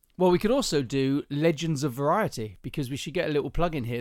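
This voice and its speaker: At a very fast pace, a man with a southern English accent speaks with ordinary pitch variation, on a very clean recording with a silent background. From southern England. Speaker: podcast host. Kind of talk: casual chat, podcast between spouses. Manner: teasing, joking.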